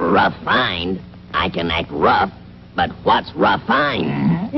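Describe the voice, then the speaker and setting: Clear background noise sits behind a man doing a cartoonish character voice at a very slow pace. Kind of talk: comic mock-posh.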